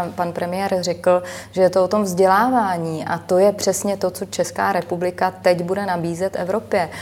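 A woman's medium-pitched, monotone voice with flat intonation at a moderate pace, over noticeable background noise. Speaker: member of European Parliament. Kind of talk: televised political debate.

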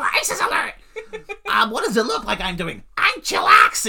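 The speaker puts on a nasal character voice. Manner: overly casual, slangy.

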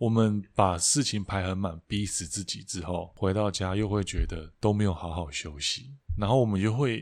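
A man talks at a moderate pace in a fairly low voice with ordinary pitch variation and hardly any pauses. The recording is very clean, with a silent background. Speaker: podcast co-host, songwriter. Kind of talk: casual chat.

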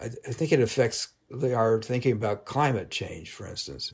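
This man's voice sits at a medium pitch, in a General American accent. It comes across as somewhat breathy. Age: 70s. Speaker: magazine journalist and author. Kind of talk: interview about his book.

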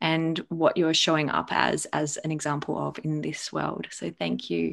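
A woman in a very clean recording with a silent background. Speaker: podcast host. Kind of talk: interview.

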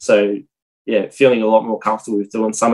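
A man speaks with an Australian accent. His intonation stays fairly even. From Australia, Armidale NSW and Maryborough Queensland. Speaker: property investor. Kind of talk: casual interview.

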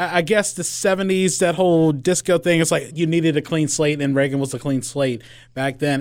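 On a very clean recording with a silent background, a man with a plain, everyday voice speaks at a fairly quick pace, his pitch fairly high with ordinary pitch variation. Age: 30s. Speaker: podcast host. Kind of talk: interview; scripted narration.

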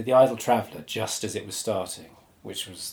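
Speech moves at a fairly quick pace. The voice is somewhat breathy. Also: man. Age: 40s. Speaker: writer and publisher. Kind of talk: casual chat.

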